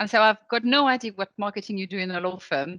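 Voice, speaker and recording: A woman with a French accent speaks at a fairly quick pace in a bright, sharp tone. Her pitch sits fairly high, and the background is quiet. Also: dry, close sound with no echo. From France. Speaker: legal operations consultant. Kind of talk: interview.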